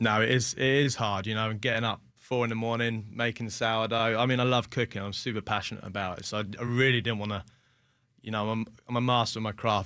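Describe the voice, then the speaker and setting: Against a quiet background, a man with a southern English accent talks at a very fast pace, medium in pitch, his tone bright and sharp and his intonation monotone and flat. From southern England (West Sussex). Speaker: yacht chef. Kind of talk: interview. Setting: studio.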